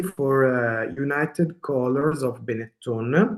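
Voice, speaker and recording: A man talks with an Italian accent at a very slow pace. His pitch variation is ordinary. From Italy, Veneto. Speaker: illustrator. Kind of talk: presentation talk. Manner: halting, many fillers.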